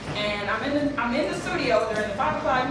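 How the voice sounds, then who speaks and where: A woman speaks fairly quickly in an upbeat, energetic tone with a high pitch, while noticeable background noise runs underneath. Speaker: event host. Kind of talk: live event hosting, audience interaction.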